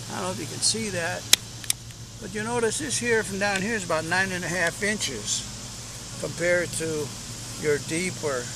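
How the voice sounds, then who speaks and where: A high-pitched man at a moderate pace, with audible room echo and noticeable background noise. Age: 70s. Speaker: beekeeper. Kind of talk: tutorial. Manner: casual.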